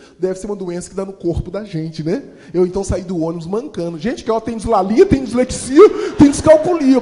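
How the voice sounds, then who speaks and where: Animated male voice at a fairly quick pace, with lively intonation. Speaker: motivational speaker and storyteller. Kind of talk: motivational talk with storytelling. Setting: stage with audience. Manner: fast.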